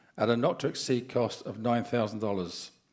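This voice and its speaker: A man speaks in an unremarkable speaking voice. His intonation is fairly even. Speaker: board meeting chair. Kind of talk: formal meeting.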